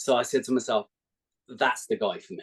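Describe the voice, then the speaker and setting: This man has an English accent. He speaks at a moderate pace. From England, Milton Keynes. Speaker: basketball fan, podcast guest. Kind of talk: casual chat.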